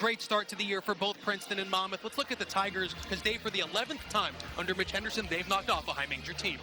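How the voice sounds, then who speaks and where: A man with an American accent speaks at a very fast pace and high pitch, with music in the background. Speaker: play-by-play sports broadcaster. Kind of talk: live sports play-by-play commentary. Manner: conversational, upbeat.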